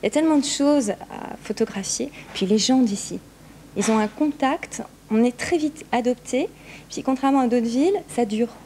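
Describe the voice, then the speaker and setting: Over noticeable background noise, a woman with a high voice speaks at a moderate pace with ordinary pitch variation. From Lorraine, France. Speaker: photographer. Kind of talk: interview. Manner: hesitant.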